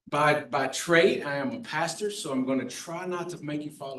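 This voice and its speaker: With audible room echo around him, a man with an American accent talks at a fairly high pitch and ordinary pitch variation. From US South (New Orleans, South Florida). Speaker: pastor, charity officer. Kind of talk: public talk at board meeting.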